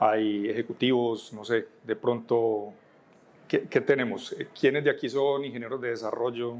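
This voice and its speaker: A man's medium-pitched voice in a Colombian paisa accent, with fairly even intonation and a fairly slow pace. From Colombia, Medellín. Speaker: software architect, conference speaker. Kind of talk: conference talk. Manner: halting, with many fillers.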